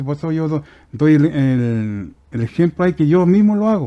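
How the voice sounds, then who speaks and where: Against a quiet background, a man speaks at a fairly high pitch in a dark, mellow tone. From Chile, Aconcagua Valley (Curimón); Chile. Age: 50s. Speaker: woodworking craftsman; guest. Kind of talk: casual interview. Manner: halting. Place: studio. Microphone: headset.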